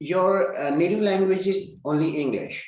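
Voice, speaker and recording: In a room with audible echo, a man with an Indian accent speaks at a very slow pace. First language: Hindi. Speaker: English learning channel host. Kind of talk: casual interview.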